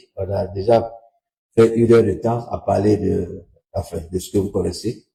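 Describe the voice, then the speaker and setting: Somewhat breathy and dark, mellow in tone, a man speaks at a moderate pace in a medium pitch. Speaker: political commentator. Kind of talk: livestream commentary.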